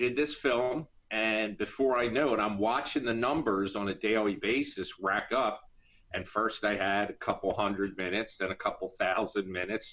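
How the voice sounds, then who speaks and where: A man with an American accent, fairly low in pitch with ordinary pitch variation, a bright, sharp tone, very even loudness and a moderate pace. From US Northeast, Philadelphia area. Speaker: independent filmmaker and actor. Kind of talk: interview.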